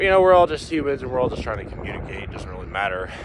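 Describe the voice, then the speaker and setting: With a Middle American accent, a man speaks in very wide pitch swings over noticeable background noise. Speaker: vlogger. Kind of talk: casual monologue while walking. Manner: halting, many fillers.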